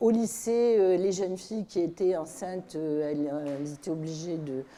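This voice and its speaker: A woman speaks at a moderate pace. Her voice has a dark, mellow tone and ordinary pitch variation. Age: 70s. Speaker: activist. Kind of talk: panel discussion.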